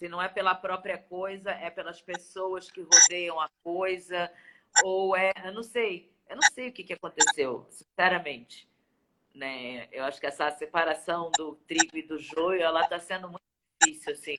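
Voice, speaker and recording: A woman's bright, sharp voice at fairly low pitch in a strong Rio de Janeiro accent, with ordinary pitch variation, big swings in loudness, and a fairly slow pace. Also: dry, close sound with no echo. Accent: strong carioca. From Rio de Janeiro, Brazil. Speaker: singer and voice-over artist. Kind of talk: casual interview chat. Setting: video call.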